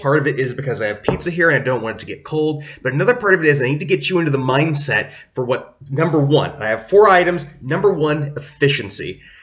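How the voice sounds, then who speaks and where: With noticeable background noise behind him, a man speaks very fast with lively intonation and hardly any pauses. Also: fairly high pitch for a man. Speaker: English teacher vlogger. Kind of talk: casual monologue vlog.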